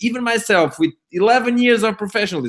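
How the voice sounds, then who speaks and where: A man with a non-native accent. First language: not English. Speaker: network marketer. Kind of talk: webinar talk. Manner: halting.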